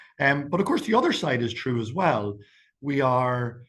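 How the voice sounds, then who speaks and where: Man at a medium pitch and a fairly quick pace. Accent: Irish. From Ireland. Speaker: campaign strategist. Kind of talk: webinar talk. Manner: fast.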